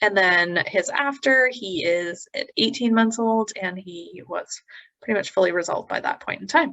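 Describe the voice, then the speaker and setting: A woman speaks in a Canadian accent at medium pitch. Her intonation is lively and her pace moderate. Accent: Canadian pronunciation of eczema. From Canada. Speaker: naturopathic doctor. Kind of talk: educational presentation.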